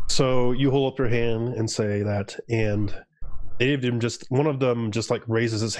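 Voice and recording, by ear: A natural voice reading text aloud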